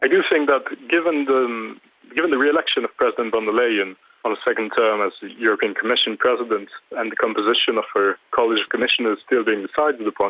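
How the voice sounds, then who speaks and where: A man with a French accent, at a very fast pace. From France. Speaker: climate policy commentator. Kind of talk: TV news interview.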